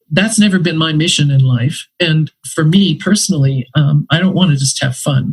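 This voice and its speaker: A woman with an American accent speaks at a moderate pace in a very deep, low voice, somewhat breathy, with a dry, close sound and no echo. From Brazil, then United States from about age eight. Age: 70s. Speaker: retired anthropology professor. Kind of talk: interview conversation. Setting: podcast interview.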